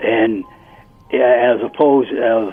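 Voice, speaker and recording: With music in the background, a man talks at a very slow pace. His pitch is medium and his intonation fairly even. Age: 70s. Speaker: retired pro wrestler. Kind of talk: casual chat. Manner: halting.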